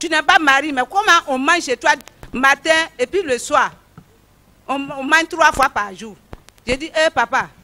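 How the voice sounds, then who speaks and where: A woman raises and projects her voice at a high pitch. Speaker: church member giving testimony. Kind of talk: testimony. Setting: church. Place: stage. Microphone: handheld.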